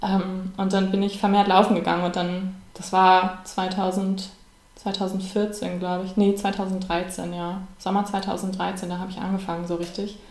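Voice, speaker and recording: Audible room echo colors a woman's medium-pitched, flat, monotone speech at a fairly slow pace. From Siebengebirge near Bonn, Germany. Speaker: amateur runner, online editor. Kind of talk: casual podcast interview. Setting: kitchen table.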